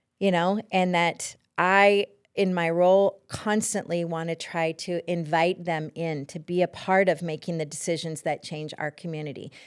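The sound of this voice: On a very clean recording with a silent background, a woman with an American accent speaks in a clear, smooth tone with little pitch movement. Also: fairly low pitch for a woman, moderate pace.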